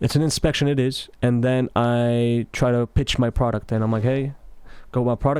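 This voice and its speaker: The speaker has a slight Russian accent and talks at a moderate pace with monotone, flat intonation. Loudness stays very even in a very clean recording with a silent background. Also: man, medium pitch for a man. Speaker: gaming commentator. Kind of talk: casual monologue over gameplay. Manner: halting, self-correcting.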